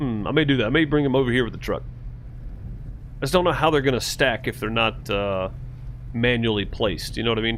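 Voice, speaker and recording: A medium-pitched man's voice in an American accent, with vocal fry, ordinary pitch variation, long, frequent pauses, and audible room echo. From Mississippi, US South. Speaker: gaming streamer. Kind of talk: casual live-stream chat. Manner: casual, hesitant with fillers.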